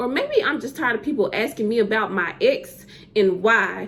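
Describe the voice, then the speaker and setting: Amid noticeable background noise, a woman with a Southern US accent talks at a moderate pace with a fairly high pitch. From US South. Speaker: poet. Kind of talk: spoken word poetry. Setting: virtual summit.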